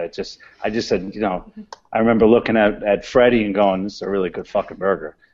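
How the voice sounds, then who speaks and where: A man speaks with an American accent at a fairly low pitch. His intonation stays fairly even. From New York City, the Bronx. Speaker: chef and burger restaurant owner. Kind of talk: interview. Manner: blunt, informal.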